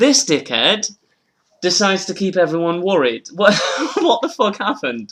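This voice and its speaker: This man has a British accent and a high pitch. He keeps a moderate pace while his pitch swings very widely. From northern England. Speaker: comedian, podcast host. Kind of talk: casual chat. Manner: animated.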